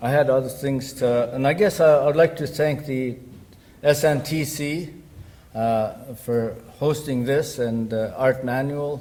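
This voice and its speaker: A fairly high-pitched male voice, somewhat breathy, with a dark, mellow tone, fairly even intonation, a fairly slow pace and audible room echo. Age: 60s. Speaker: academic speaker. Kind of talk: conference presentation. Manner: halting, many fillers.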